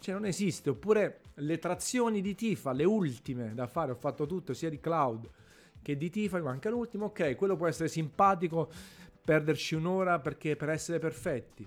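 A man talks fairly quickly with lively intonation while music plays in the background. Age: 30s. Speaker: gaming podcaster. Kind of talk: casual monologue.

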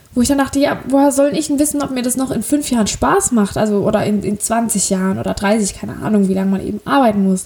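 A woman at fairly high pitch, very fast pace, hardly any pauses, and ordinary pitch variation. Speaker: podcaster. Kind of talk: casual monologue. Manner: hesitant, many fillers.

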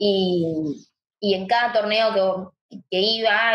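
A woman's medium-pitched voice shows ordinary pitch variation. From Argentina, Chaco. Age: 20s. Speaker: paralympic swimmer. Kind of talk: interview.

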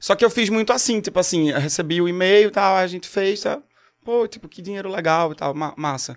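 High-pitched and fairly quick, a man with a Pernambuco accent speaks with ordinary pitch variation. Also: big swings in loudness. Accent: Pernambuco Brazilian Portuguese. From Pernambuco, Brazil (Agreste). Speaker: singer-songwriter. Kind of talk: casual chat. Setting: studio.

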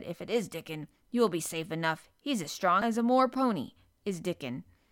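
In a raspy, put-on character voice of middle pitch, the speaker goes at a fairly quick pace. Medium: read story. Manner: nervous.

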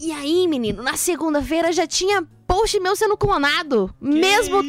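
Amid noticeable background noise, a woman talks at a moderate pace with an extremely high pitch and lively intonation. The sound is dry and close with no echo. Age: 20s. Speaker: social media content creator. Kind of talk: casual chat. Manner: talkative.

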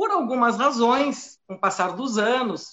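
A woman's fairly high voice in a regional Brazilian accent at a very slow pace, with ordinary pitch variation. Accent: noticeable regional Brazilian. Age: 40s. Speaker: flight attendant. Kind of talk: live stream interview.

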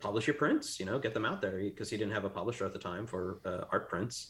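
Using a normal speaking voice, a man talks at a fairly quick pace with ordinary pitch variation on a very clean recording with a silent background. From Texas (Plano). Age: 40s. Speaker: artist and art director. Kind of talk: casual chat.

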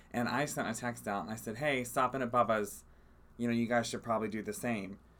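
Noticeable background noise runs behind a man's voice. He speaks at a medium pitch and a fairly quick pace. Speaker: podcast co-host. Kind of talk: casual chat. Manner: loud.

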